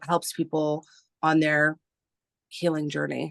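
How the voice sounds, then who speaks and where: A woman with a Canadian accent and a very deep, low pitch is heard in a dry, close sound with no echo and a quiet background. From Canada. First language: Spanish. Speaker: artist and writer. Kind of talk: interview.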